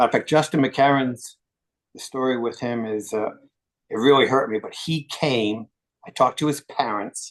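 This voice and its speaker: Over a quiet background, a man in an ordinary speaking voice talks at a moderate pace and medium pitch, his intonation fairly even but his loudness swinging widely. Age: 60s. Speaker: retired football strength coach. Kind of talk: interview.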